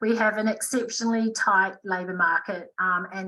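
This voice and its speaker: With fairly even intonation, a plain, everyday voice keeps to a moderate pace. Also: woman. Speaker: recruitment and HR advisor. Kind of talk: webinar presentation.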